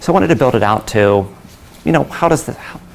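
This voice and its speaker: Through noticeable background noise, a man races along at a very fast pace with lively intonation. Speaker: conference speaker, company founder. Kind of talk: conference talk.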